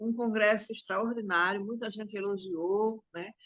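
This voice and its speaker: Here a woman is speaking. Her voice is fairly high in pitch. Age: 60s. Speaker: domestic workers' union leader. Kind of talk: interview testimony.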